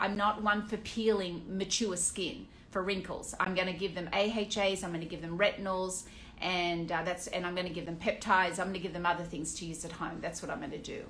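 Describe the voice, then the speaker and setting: A woman with an Australian accent speaks at a fairly quick pace in a medium pitch. Her intonation stays fairly even, and the room echo is audible. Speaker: aesthetician. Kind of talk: Q&A monologue. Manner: casual, with many fillers.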